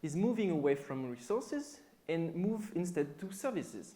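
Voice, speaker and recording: Pitched high, a man speaks with a French accent. He keeps a moderate pace with very wide pitch swings. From France. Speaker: software developer and conference speaker. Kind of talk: conference talk. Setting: stage with audience.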